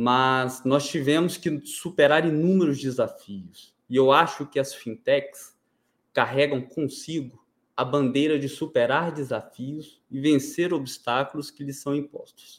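On a very clean recording with a silent background, a man speaks in an unremarkable speaking voice at a fairly high pitch. He keeps a fairly slow pace and fairly even intonation. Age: 20s. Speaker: fintech founder. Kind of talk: interview. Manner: formal.

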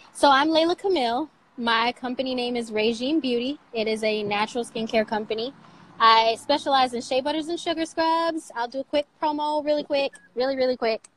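A woman with an American accent talks at a fairly quick pace and high pitch. The sound is dry and close, with no echo. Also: ordinary pitch variation. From Michigan, US. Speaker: skincare entrepreneur. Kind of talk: interview conversation. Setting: social media live video.

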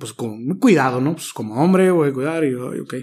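A man talks with ordinary pitch variation. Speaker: social aid organizer and teacher trainer. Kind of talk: casual interview.

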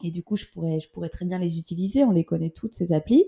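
This woman's medium-pitched voice has a dark, mellow tone and is somewhat breathy, captured in a very clean recording with a silent background. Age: 40s. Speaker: startup founder. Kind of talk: interview.

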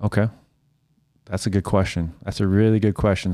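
In a Canadian accent, a man with a fairly low pitch and fairly even intonation has an unremarkable speaking voice, recorded very cleanly against a silent background. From Saskatoon, Canada. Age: 30s. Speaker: magician and hypnotist. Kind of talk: casual interview chat.

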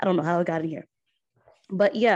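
Fairly even intonation against a quiet background. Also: woman. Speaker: podcast host. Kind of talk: interview.

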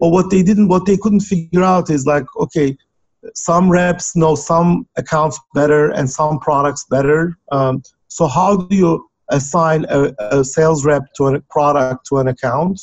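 Fairly high in pitch, a man speaks with a Turkish accent at a fairly slow pace. His loudness stays very even. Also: ordinary pitch variation. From Turkey. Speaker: software company founder. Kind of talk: interview.

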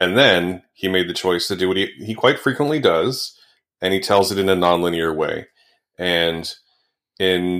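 A man's very deep, low-pitched voice on a very clean recording with a silent background. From Canada. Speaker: podcast co-host, film reviewer. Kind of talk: casual chat.

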